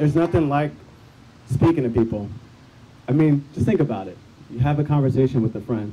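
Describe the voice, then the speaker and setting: The voice is somewhat breathy with a dark, mellow tone, moving at a fairly quick pace with ordinary pitch variation. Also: man. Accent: American. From Bloomington, Illinois. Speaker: activist. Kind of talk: testimony. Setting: outdoor rally. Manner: upbeat; unscripted.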